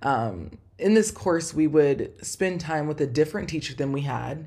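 Her tone dark and mellow with some vocal fry, a woman talks at a moderate pace with ordinary pitch variation. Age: 20s. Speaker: podcast host. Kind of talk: solo podcast monologue. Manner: casual with frequent fillers.

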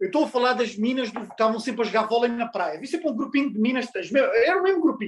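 A man with a European Portuguese accent, extremely high pitch, lively intonation and a very fast pace. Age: 30s. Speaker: podcast guest. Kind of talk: casual chat.

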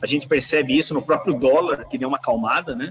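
Music plays behind a man talking at a very fast pace. His fairly high voice shows ordinary pitch variation. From Brazil, São Paulo city. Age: 40s. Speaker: engineer and company CEO. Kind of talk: interview. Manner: halting, frequent repetitions and fillers.

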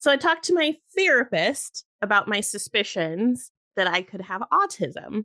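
A woman talks at a moderate pace with a fairly high pitch, a bright, sharp tone and very wide pitch swings, in a dry, close sound with no echo. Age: 30s. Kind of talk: casual interview chat.

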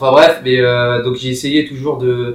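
Talking at a fairly slow pace, a man keeps a medium pitch in a monotone, flat intonation. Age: 20s. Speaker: strength and conditioning coach. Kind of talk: casual chat.

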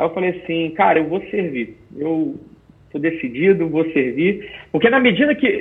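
This man's high voice moves along at a moderate pace. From Rio de Janeiro, Brazil. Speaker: military police officer and special operations instructor. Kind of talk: interview. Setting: video call. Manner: halting, with repetitions.

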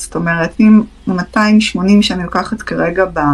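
This is a woman talking. Her pitch rises and falls in an ordinary way. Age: 30s. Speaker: psychotherapist. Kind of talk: live-stream Q&A talk. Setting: live stream.

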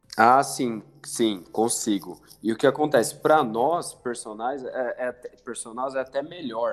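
Speaking at a fairly slow pace, a man has a medium pitch, ordinary pitch variation and a normal speaking voice. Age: 20s. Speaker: personal trainer. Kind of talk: casual chat.

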